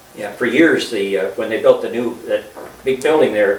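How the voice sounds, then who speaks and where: At a moderate pace, the speaker talks with an American accent amid noticeable background noise and audible room echo. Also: man. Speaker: longtime local resident. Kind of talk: reminiscing interview. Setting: filmed group conversation. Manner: hesitant.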